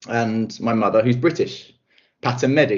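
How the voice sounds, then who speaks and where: A man's voice in a southern English accent. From south-east England (Kent). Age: 30s. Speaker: recruitment specialist and coach. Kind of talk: interview.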